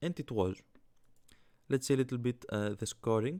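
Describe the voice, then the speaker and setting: Speaking at a fairly quick pace, a man with a Greek accent has a medium pitch and ordinary pitch variation. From Greece. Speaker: fantasy sports YouTuber. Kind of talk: casual commentary vlog. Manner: halting, many fillers.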